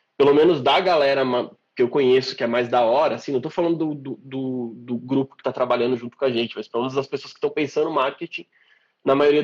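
A man in a regional Brazilian accent, very fast and medium-pitched, with fairly even intonation. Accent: noticeable regional Brazilian. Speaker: marketing professional and podcast host. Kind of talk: casual interview. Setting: online live stream.

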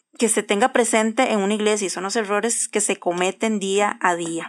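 Heard in a dry, close sound with no echo, a woman with an unremarkable speaking voice talks at a fairly slow pace, with medium pitch and fairly even intonation. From Costa Rica (Cartago). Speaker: podcast co-host. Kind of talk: casual chat.

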